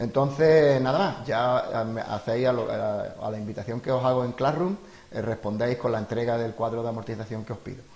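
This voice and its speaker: Fairly quick pace with ordinary pitch variation. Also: man, medium pitch for a man. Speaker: teacher. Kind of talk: tutorial. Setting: home during lockdown. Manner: fast.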